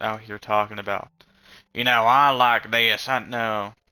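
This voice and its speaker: A man with an American accent mumbles quietly at a medium pitch and moderate pace, in a bright, sharp tone. His intonation is monotone and flat, and the recording is very clean with a silent background. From rural US South, rural area. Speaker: vlogger. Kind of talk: casual monologue. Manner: mumbling.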